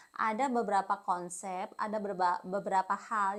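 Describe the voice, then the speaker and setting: With a strong Javanese accent, a woman speaks at a medium pitch in a monotone, flat intonation. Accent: thick Javanese (medok). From Indonesia, Kediri (East Java). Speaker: English teacher. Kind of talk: tutorial. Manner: casual, conversational.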